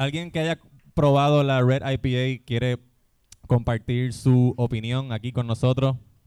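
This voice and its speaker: A man's dark, mellow tone at a medium pitch, fairly even in intonation, at a fairly slow pace. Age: 30s. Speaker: podcast host. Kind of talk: live comedy podcast before audience. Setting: brewery stage with live audience.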